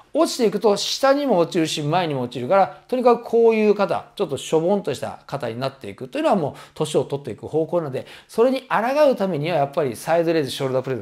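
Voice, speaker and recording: A man talks at a very fast pace. His high pitch makes very wide swings. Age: 50s. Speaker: personal trainer. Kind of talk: tutorial. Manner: casual, many filler words. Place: home room.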